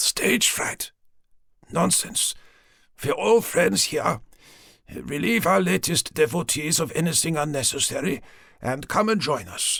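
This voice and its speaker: Doing a put-on character voice, a man sounds raspy at a fairly high pitch, with very wide pitch swings. He goes at a fairly slow pace with long, frequent pauses in a very clean recording with a silent background. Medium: read story. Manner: haughty, commanding.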